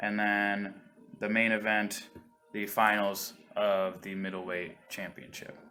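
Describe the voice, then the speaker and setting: A man's fairly low voice, very slow and monotone, with noticeable background noise behind it. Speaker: livestream host and commentator. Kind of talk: video game match commentary. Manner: casual, hesitant.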